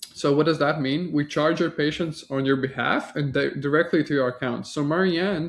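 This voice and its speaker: A slight Latvian accent at a moderate pace, with fairly even intonation and a quiet background. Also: man. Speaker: marketing agency founder. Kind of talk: sales pitch. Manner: casual, with frequent fillers.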